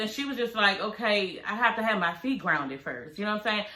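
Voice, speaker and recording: Speaking at a fairly quick pace, a woman with an American accent has a medium pitch and ordinary pitch variation. Audible room echo and noticeable background noise surround her. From Washington DC. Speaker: reality TV recap commentator. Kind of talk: casual recap commentary. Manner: animated, conversational.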